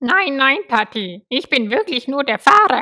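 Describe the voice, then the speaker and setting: A cartoonish character voice that sounds female, high in pitch for a woman, moves at a fairly slow pace. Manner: buzzing.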